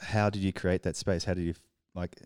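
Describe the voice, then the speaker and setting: A man talks at a fairly quick pace in a monotone. The recording is very clean, with a silent background. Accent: Australian. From Australia. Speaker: podcast co-host, publisher. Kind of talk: conversational interview.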